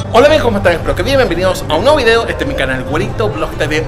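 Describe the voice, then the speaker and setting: Loud music fills the background. A man talks over it. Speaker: vlogger. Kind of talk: casual vlog chat. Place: cafe. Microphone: phone near.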